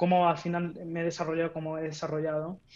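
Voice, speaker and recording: The voice belongs to a woman. It sits fairly low in pitch. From Spain, Madrid. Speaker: tech executive and startup mentor; podcast guest. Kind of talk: casual interview. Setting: home office. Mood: friendly, animated. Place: home room.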